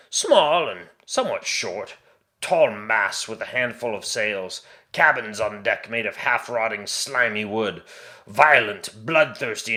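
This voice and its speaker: Using a put-on character voice, a man projects loudly at a medium pitch and a fairly slow pace. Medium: read story. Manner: blunt, darkly wry.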